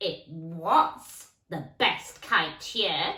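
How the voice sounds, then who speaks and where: The voice is a put-on character voice that sounds female. It sits at medium pitch. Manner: cackling.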